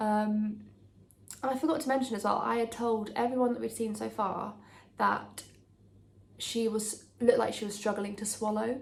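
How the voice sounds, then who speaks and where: Speaking quietly with an English accent, the voice moves at a moderate pace with fairly even intonation, long and frequent pauses, and audible room echo. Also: woman, fairly high pitch for a woman. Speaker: lifestyle vlogger. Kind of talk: casual chat. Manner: hesitant with many ums.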